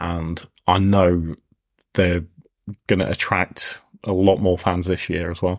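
His pitch sits very deep and low. The speaker is a man. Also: very clean recording, silent background. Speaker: podcast host. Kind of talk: casual chat.

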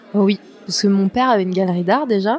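A woman's plain, everyday voice at medium pitch, with ordinary pitch variation. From western France, La Rochelle. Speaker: artist and former stylist. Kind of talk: casual interview.

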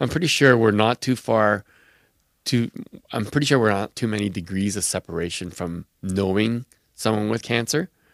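A man speaks at a moderate pace and a fairly low pitch in an unremarkable speaking voice, with ordinary pitch variation. The sound is dry and close with no echo, on a very clean recording with a silent background. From Quebec City, Canada. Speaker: blood cancer survivor and registry advocate. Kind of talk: interview.

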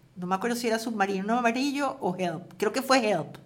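This is a woman speaking. She has a plain, everyday voice. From Venezuela, Caracas. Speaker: screenwriter and novelist. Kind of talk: interview. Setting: at her home.

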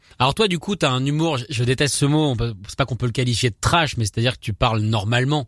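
A man speaks very fast at medium pitch in an animated tone, with ordinary pitch variation, big swings in loudness and a dry, close sound with no echo. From France. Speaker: radio host. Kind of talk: casual chat.

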